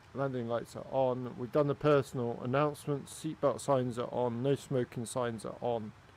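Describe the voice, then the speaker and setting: This man speaks with a Swansea accent at a moderate pace, with hardly any pauses. His pitch is medium and his intonation fairly even. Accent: Welsh English, Swansea area. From Wales. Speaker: flight sim streamer. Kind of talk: live gameplay commentary while chatting with viewers. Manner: casual, halting with fillers.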